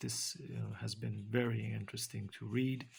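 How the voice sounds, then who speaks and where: With vocal fry and ordinary pitch variation, a man speaks in a Romanian accent. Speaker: book reviewer. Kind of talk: book review. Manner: halting, many fillers.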